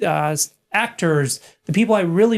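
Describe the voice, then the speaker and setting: A man with an American accent and a normal speaking voice talks at a fairly high pitch with ordinary pitch variation, on a very clean recording with a silent background. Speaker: digital strategist and author. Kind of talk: podcast interview.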